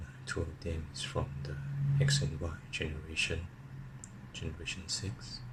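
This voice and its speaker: A man whispers with vocal fry at a fairly slow pace. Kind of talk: ASMR card unboxing. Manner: whispered.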